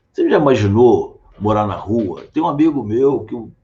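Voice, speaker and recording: A man speaks at a fairly slow pace, medium in pitch. His tone is dark and mellow, and somewhat breathy. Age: 60s. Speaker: political candidate and physician. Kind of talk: interview.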